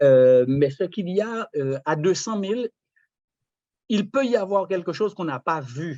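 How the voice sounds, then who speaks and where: A man with a high, dark, mellow voice uses lively intonation, broken by long, frequent pauses. The sound is dry and close with no echo, over a quiet background. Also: fairly slow pace. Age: 60s. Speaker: retired property investor. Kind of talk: casual chat. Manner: halting.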